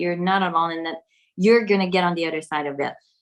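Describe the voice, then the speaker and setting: This is a woman speaking. She has a French accent. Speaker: spiritual content creator. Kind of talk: casual conversation. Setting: video call.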